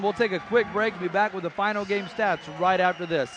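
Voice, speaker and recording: There is noticeable background noise. Over it, a man speaks at a high pitch. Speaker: basketball play-by-play commentator. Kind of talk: live commentary. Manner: excitable.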